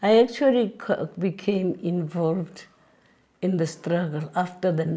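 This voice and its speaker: A woman's voice with a dark, mellow tone and a somewhat breathy quality. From South Africa, Johannesburg. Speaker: former anti-apartheid activist. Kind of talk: interview testimony.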